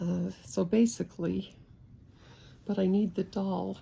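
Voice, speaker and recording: Words come out very slowly. An American accent marks the speech. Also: woman. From Utah, USA. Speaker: handcraft demonstrator. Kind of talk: casual demonstration talk.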